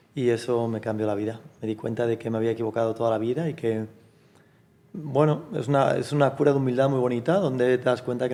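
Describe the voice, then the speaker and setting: A man talks at a very fast pace in a medium pitch. His tone is dark and mellow, with fairly even intonation. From Galicia, Spain (Fisterra). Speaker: language teaching entrepreneur. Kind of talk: interview conversation.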